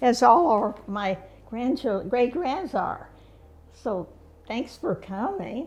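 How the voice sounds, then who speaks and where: Pitch swings very widely in a woman's voice. Behind it, background noise is noticeable. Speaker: community volunteer, award recipient. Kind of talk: casual chat. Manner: halting.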